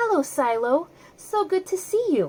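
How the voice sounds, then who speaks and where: Squeaky and clearly a put-on character voice, the speaker goes at a moderate pace. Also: woman. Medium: read story. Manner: gentle, soothing.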